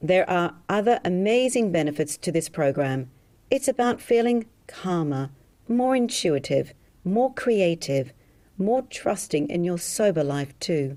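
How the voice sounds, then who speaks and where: A woman with an Australian accent speaks at a fairly slow pace in a dark, mellow tone of medium pitch, her pitch swinging very widely. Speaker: hypnotherapist selling a program. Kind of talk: sales pitch.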